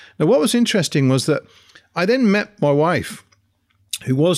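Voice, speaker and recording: With an English accent and lively intonation, a man talks over a very clean recording with a silent background. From England. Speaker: podcast co-host. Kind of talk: casual chat.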